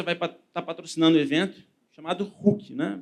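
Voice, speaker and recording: At a moderate pace, a man talks at high pitch with ordinary pitch variation. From Brazil, Espírito Santo (Vitória). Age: 20s. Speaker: lawyer. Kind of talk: conference talk.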